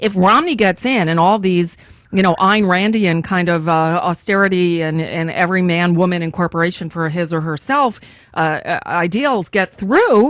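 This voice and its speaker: This woman speaks at a medium pitch and a moderate pace. Her pitch varies in an ordinary way. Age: 50s. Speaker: radio host. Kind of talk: political talk radio interview. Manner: animated.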